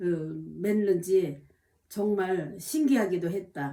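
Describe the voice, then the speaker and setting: A woman talks at a moderate pace with a dark, mellow tone and a somewhat breathy quality. Her pitch swings very widely. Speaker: diary-reading vlogger. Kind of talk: reading aloud own diary with spoken asides. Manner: hesitant, many fillers.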